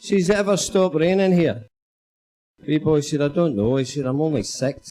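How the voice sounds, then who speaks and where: Speaking with a Glaswegian accent, a man uses a fairly high, dark, mellow voice with lively intonation at a moderate pace. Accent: Glaswegian Scottish. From Scotland, Glasgow. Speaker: comedian. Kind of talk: stand-up.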